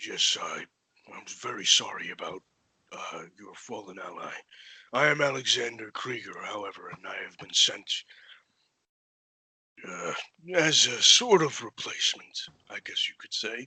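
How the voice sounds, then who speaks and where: A man's raspy, put-on character voice at a moderate pace, with long, frequent pauses. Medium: actual play. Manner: hesitant, stammering, over-polite.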